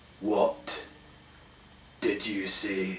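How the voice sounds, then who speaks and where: Over clear background noise, a man does a put-on character voice that is gravelly and growling. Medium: read story. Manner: growling, impatient.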